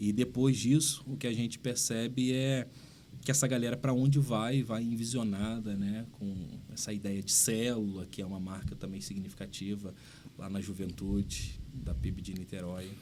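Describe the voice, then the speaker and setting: A man's dark, mellow voice at medium pitch, with ordinary pitch variation and a moderate pace, in a room with audible echo. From Rio de Janeiro state interior (São Fidélis). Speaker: pastor. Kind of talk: podcast interview.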